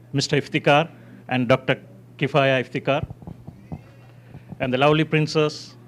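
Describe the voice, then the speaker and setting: Speaking in a Tamil accent, a man with a fairly high pitch keeps a moderate pace and monotone, flat intonation, with long, frequent pauses. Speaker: community leader. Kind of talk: ceremonial speech.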